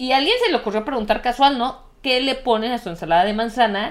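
A woman with a Mexican accent speaks at a moderate pace with fairly high pitch. Her tone is animated, and her pitch variation is ordinary. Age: 30s. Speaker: podcast co-host. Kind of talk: casual chat.

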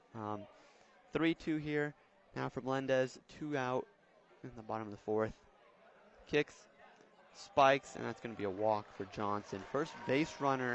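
With a relaxed tone and medium pitch, a man talks at a moderate pace, using ordinary pitch variation and long, frequent pauses. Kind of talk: live baseball commentary. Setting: ballpark broadcast. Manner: play-by-play, conversational, relaxed with occasional laughs.

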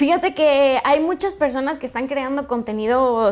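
In a Mexican accent, a woman speaks at a high pitch and a moderate pace, with ordinary pitch variation. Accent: marked regional Mexican. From Mexico, Michoacán (Jacona). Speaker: content creator. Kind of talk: interview.

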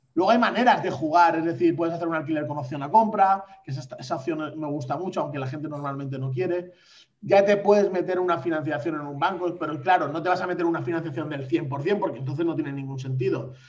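Audible room echo follows a man speaking at a very fast pace. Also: fairly high pitch for a man, ordinary pitch variation, hardly any pauses. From Valencia, Spain. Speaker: podcast co-host. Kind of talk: casual chat. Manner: animated.

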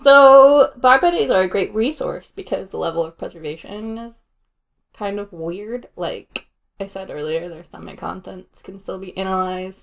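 A woman has a plain, everyday voice at medium pitch, with lively intonation. Her loudness swings widely. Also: fairly slow pace. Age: 30s. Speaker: podcast co-host. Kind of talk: casual chat with storytelling.

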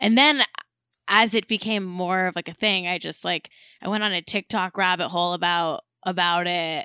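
In an American accent, a woman with a fairly low pitch speaks with fairly even intonation and a bright, sharp tone. The sound is dry and close with no echo, on a very clean recording with a silent background. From Southern California (Manhattan Beach). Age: 30s. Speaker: comedian. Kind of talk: casual chat.

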